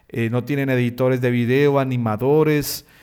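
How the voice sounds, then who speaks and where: Fairly slow speech from a man, pitched in the middle range. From Colombia, Bucaramanga. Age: 30s. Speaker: pastor and web designer, podcast host. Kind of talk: solo podcast monologue. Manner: hesitant fillers.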